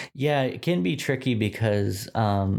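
A man speaks in a plain, everyday voice with an American accent, his pitch fairly low. His pitch variation is ordinary, and the recording is very clean with a silent background. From Texas, Dallas suburbs. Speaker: brand designer. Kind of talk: casual interview.

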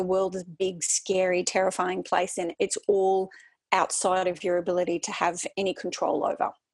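A woman is speaking. She has an Australian accent. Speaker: wellbeing consultant. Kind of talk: interview. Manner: energetic.

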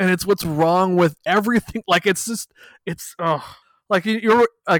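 In a Canadian accent, a man with an unremarkable speaking voice talks at a fairly quick pace and ordinary pitch variation. The sound is dry and close with no echo, a very clean recording over a silent background. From Canada. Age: 40s. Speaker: podcast co-host. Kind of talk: casual chat.

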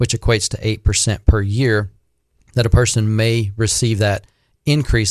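A man talks at a medium pitch and a moderate pace in a normal speaking voice. The background is quiet. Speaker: Social Security and Medicare advisor. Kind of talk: radio call-in Q&A. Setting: radio studio.

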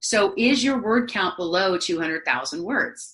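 A woman speaks with a bright, sharp tone and lively intonation. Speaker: author coach. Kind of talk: interview.

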